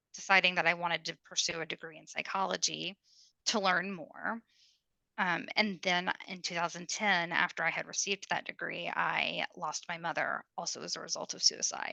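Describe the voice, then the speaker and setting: A woman with an American accent, fairly low in pitch, with vocal fry, a bright, sharp tone, fairly even intonation and a moderate pace, in a dry, close sound with no echo against a quiet background. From US South, Kentucky (Louisville). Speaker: mental health advocate. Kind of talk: interview. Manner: talkative.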